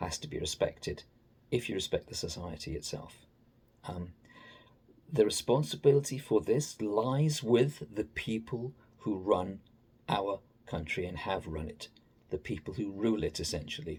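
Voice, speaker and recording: A man with an English accent and a fairly low pitch speaks at a moderate pace, his voice somewhat breathy with lively intonation. His loudness swings widely, and he takes long, frequent pauses. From England. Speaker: political commentator. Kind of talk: opinion monologue. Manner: halting.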